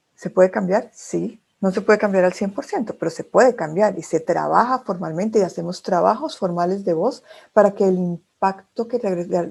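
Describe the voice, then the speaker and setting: A woman's dark, mellow tone at a moderate pace on a very clean recording with a silent background. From Colombia, Bogotá. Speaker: speech therapist and communication trainer. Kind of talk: lecture.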